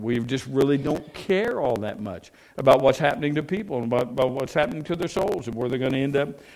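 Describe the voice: Reading aloud, plainly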